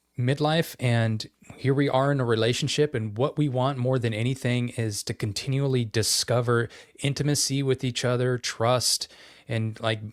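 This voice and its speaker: In a Western US accent, the speaker keeps fairly even intonation at a moderate pace in a very clean recording with a silent background. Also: man, medium pitch for a man. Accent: US West. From Idaho. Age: 50s. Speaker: podcast co-host. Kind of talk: casual chat.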